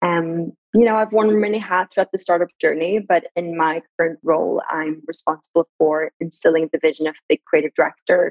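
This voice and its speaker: Speaking at a fairly quick pace with hardly any pauses, a woman with an Iranian accent uses a fairly low pitch and fairly even intonation. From Sweden. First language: Farsi. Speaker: brand director and marketing expert. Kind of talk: casual interview conversation. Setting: video call.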